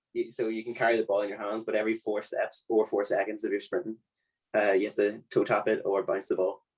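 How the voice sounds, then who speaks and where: Speaking in an Irish accent, a man talks at a very fast pace. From Ireland, County Leitrim. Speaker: university student. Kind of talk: casual chat.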